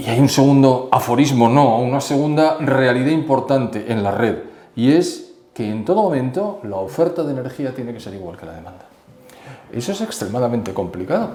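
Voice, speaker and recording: A man's fairly quick speech with big swings in loudness, audible room echo and noticeable background noise. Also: medium pitch for a man, lively intonation. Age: 70s. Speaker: expert commentator. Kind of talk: interview.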